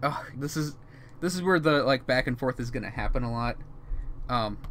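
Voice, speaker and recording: Here a man speaks at a medium pitch and a moderate pace. His pitch varies in an ordinary way. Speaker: digital artist streaming a drawing session. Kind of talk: casual drawing tutorial commentary. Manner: halting, many filler ums and self-corrections; casual, thinking aloud.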